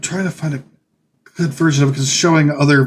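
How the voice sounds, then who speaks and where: A man talks at a fairly quick pace in a fairly high, somewhat breathy voice with fairly even intonation. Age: 30s. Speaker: gaming streamer. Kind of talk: casual live stream commentary. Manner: halting, many fillers.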